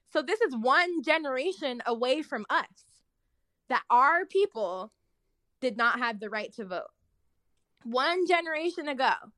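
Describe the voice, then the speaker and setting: A woman with a high, raised, projected voice and a bright, sharp tone talks at a fairly slow pace, with very wide pitch swings and long, frequent pauses. The recording is very clean and dry, close with no echo, with a silent background. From Oakland, California. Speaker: lawyer. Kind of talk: casual chat.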